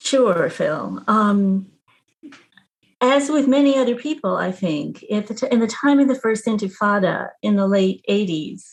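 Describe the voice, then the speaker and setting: With an American accent, a woman talks at a fairly slow pace in a fairly high, somewhat breathy voice with lively intonation. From Texas. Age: 70s. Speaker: retired nurse and activist. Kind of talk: interview.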